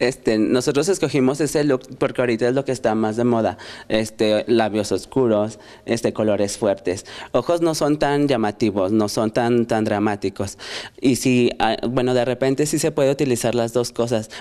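The man's voice has a dark, mellow tone. His loudness is very even, and his pitch varies in an ordinary way. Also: medium pitch for a man, moderate pace. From Fresnillo, Mexico. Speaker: hair stylist. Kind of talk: studio TV chat.

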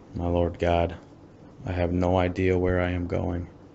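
A man's very deep, low voice, flat and monotone, at a moderate pace. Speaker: meditation guide. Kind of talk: guided meditation with prayer readings; fervent prayer, earnest and devout. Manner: earnest, heartfelt, reverent.

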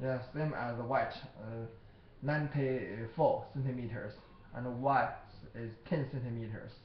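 Speaking with a Chinese accent, a man uses a medium pitch, fairly even intonation and a fairly slow pace with long, frequent pauses, amid audible room echo and light background noise. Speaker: product seller. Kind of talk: product demonstration. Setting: recorded on computer camera. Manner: halting. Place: office. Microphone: webcam.

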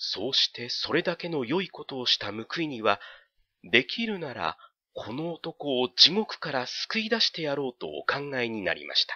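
A man's voice carries vocal fry and moves in very wide pitch swings. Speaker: audiobook narrator. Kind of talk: dramatic literary narration, audiobook reading. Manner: slow, measured, storytelling delivery with hushed suspense; formal, polite old-fashioned narrative tone.

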